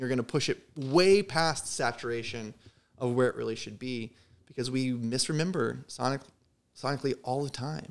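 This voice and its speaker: A man with an American accent talks at a medium pitch and a moderate pace. It is an unremarkable speaking voice with ordinary pitch variation. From US Midwest, Southern Illinois. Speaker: guitar builder and gear shop owner. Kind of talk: casual chat.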